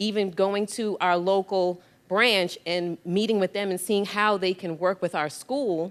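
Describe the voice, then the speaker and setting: With an American accent, a woman speaks at a medium pitch and a moderate pace. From New York. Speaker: middle school teacher. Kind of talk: panel discussion. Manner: animated.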